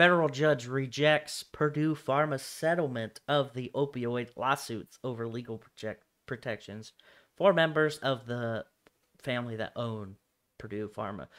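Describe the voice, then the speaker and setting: A man with a Nebraska accent talks at a fairly slow pace. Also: medium pitch for a man, ordinary pitch variation, very clean recording, silent background. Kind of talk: news reading.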